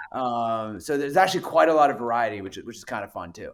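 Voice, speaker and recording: Speaking with a Manitoba accent, a man uses lively intonation. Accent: Canadian (Manitoba), close to Minnesota. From Canada (Winnipeg, Manitoba). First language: French. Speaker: venture capital investor. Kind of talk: podcast interview. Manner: halting, many repetitions.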